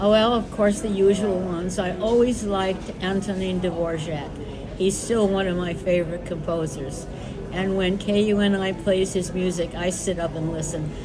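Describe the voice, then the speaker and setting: Delivered with an American accent, the voice stays monotone with flat intonation. Audible room echo and noticeable background noise run through the recording. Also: woman. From New York. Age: 90s. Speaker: retired composer. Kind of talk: interview. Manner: halting.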